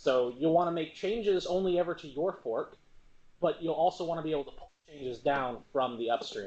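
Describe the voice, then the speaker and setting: Talking at a fairly quick pace in an ordinary speaking voice, a man uses a fairly high pitch, lively intonation and big swings in loudness. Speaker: software trainer presenting at a user group meetup. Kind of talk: hands-on technical workshop. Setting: meetup room with live audience, streamed. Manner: casual, conversational with filler words.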